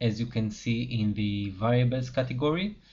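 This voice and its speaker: A man with a non-native accent speaks fairly slowly at a medium pitch. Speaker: software developer. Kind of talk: tutorial.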